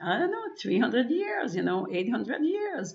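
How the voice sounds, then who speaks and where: A woman talks amid noticeable background noise, and room echo is audible. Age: 60s. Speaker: wellness practitioner and webinar presenter. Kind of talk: webinar presentation. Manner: halting, many fillers and repetitions.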